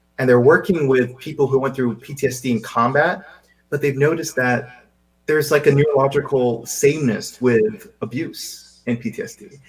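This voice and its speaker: A somewhat breathy man's voice at a fairly high pitch, with ordinary pitch variation, big swings in loudness, and a moderate pace. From Seychelles. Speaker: wellness podcast co-host. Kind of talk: casual chat. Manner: animated, repeats words when starting sentences.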